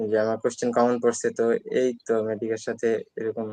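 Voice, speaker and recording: The man's voice sits at a medium pitch. He speaks with a monotone, flat intonation. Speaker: newly admitted medical student. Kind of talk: interview. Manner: halting.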